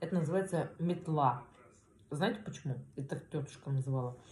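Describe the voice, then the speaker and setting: A somewhat breathy woman with a very deep, low pitch and a dark, mellow tone, over light background noise. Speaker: food vlogger. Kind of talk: casual mukbang vlog chat. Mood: relaxed, warm. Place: home room. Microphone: phone near.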